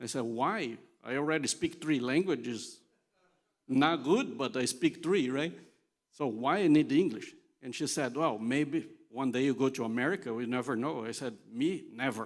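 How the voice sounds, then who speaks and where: A man of medium pitch talks at a moderate pace with ordinary pitch variation on a very clean recording with a silent background. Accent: non-native. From Brazil (São Paulo area, Italian family). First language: Portuguese. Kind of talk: conference talk. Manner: conversational, humorous.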